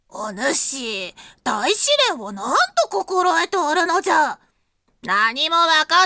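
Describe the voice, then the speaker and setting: Putting on a character voice with a stern tone, a woman speaks high and fairly slowly with very wide pitch swings, in a dry, close sound with no echo. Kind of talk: old-fashioned, stern elder speech. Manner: stern, scolding.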